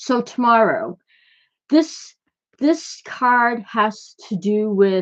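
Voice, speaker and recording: The speech comes at a very slow pace with long, frequent pauses and lively intonation. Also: woman, fairly high pitch for a woman. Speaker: tarot reader. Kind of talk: tarot card reading video. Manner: slight stutter, halting with fillers; casual, conversational.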